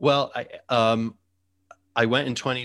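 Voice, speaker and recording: A man speaks fairly slowly in an American accent, with a bright, sharp tone and ordinary pitch variation. The background is quiet. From US Midwest, Chicago suburbs. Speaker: podcast host. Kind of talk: casual interview chat. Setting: home, remote video call.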